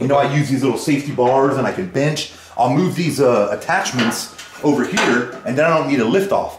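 Amid light background noise and audible room echo, a man speaks at a fairly quick pace. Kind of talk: interview answer. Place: garage.

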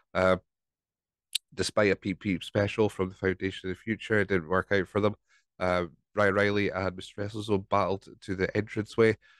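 The delivery is fairly quick with monotone, flat intonation. The sound is dry and close with no echo. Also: man, fairly low pitch for a man. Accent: Scottish. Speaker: podcast host. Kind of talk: casual solo podcast recap. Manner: rambling, hesitant.

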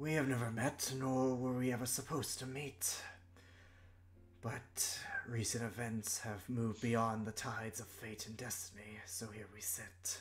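Over clear background noise, a put-on character voice comes through at a moderate pace. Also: man, medium pitch for a man. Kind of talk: fantasy sage monologue. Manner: slow, weary, solemn, reflective.

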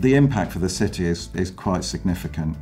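A man is talking while faint music sits in the background. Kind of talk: interview answer.

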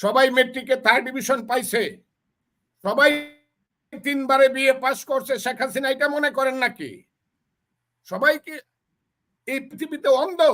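A man's raised, projected voice at extremely high pitch, bright and sharp in tone, animated, with ordinary pitch variation. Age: 70s. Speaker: veteran politician and lawyer. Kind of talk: political commentary.

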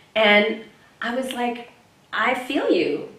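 A woman speaks with an American accent. There is audible room echo. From Texas. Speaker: voice actress. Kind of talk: casual interview. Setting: convention interview. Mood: warm, animated. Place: hall. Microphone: handheld.

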